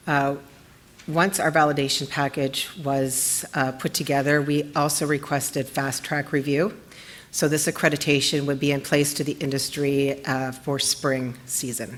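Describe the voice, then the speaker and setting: A woman's shaky, very deep voice with monotone, flat intonation. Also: moderate pace. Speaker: lab scientist presenting research. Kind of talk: conference presentation. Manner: shaky voice.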